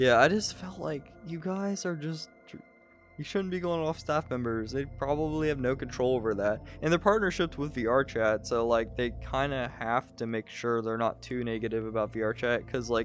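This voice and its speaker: Music plays in the background. A man speaks with lively intonation. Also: medium pitch for a man, moderate pace. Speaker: convention reviewer, channel host. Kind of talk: casual chat. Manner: halting.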